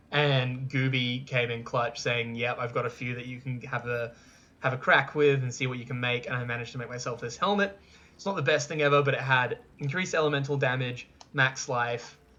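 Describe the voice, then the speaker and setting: A man's medium-pitched voice with an Australian accent, fairly quick and fairly even in intonation, over noticeable background noise. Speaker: gaming youtuber. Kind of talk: casual gameplay recap monologue. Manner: casual, with fillers.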